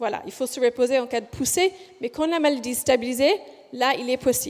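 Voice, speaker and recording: Speaking with a slight Australian accent, a woman uses a high voice with ordinary pitch variation. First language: English (speaking French). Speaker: physiotherapist researcher. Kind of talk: conference presentation. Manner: deliberately slow; hesitant, many fillers.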